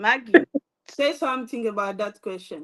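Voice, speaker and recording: With a French accent, a woman talks at a fairly high pitch with ordinary pitch variation. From DR Congo. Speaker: entrepreneur, live stream host. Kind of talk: motivational live talk. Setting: Facebook live stream.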